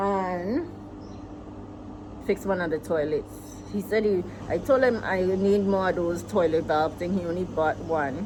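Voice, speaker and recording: With a US Virgin Islands accent, a woman speaks at a fairly slow pace and a medium pitch, with ordinary pitch variation and long, frequent pauses. Noticeable noise is present in the background. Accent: Caribbean (US Virgin Islands). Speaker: vlogger, farmer and homeowner. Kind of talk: casual vlog talk.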